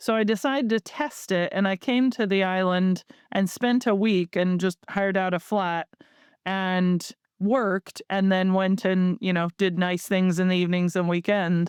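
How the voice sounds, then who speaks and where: A woman's plain, everyday voice with an American accent, medium in pitch, at a moderate pace with fairly even intonation, in a dry, close sound with no echo and a very clean recording with a silent background. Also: very even loudness. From United States. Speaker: marketing agency founder. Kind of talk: podcast interview.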